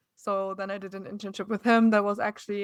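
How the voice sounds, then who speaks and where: In a strong German accent, a woman speaks at medium pitch with monotone, flat intonation on a very clean recording with a silent background. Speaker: TV news reporter. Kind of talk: interview.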